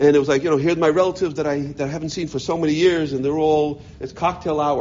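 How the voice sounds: A man talks at a fast pace with medium pitch. His tone is slightly mellow.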